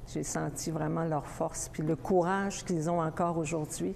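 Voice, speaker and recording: A woman speaks with a very deep, low voice. Her intonation stays fairly even. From Innu, Ekuanitshit, Quebec North Shore. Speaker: poet. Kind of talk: interview. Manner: halting.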